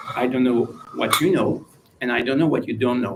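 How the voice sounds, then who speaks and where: A man speaks with a French accent over noticeable background noise. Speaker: former intelligence official, guest speaker. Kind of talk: lecture. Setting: university lecture with live audience. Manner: occasionally hesitant, searching for words.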